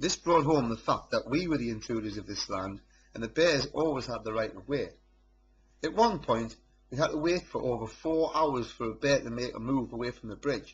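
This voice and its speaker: In a North East England accent, a man speaks at a medium pitch with ordinary pitch variation and a somewhat breathy quality. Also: moderate pace. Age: 30s. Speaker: amateur photographer. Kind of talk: narrated photo slideshow presentation.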